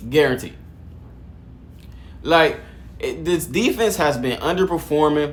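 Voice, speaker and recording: Vocal fry runs through a man's animated delivery, which has lively intonation. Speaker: sports commentator. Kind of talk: casual video commentary. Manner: fast, stuttering.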